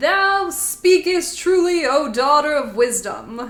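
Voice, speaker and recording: A woman puts on a character voice pitched high. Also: fairly slow pace. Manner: archaic, solemn.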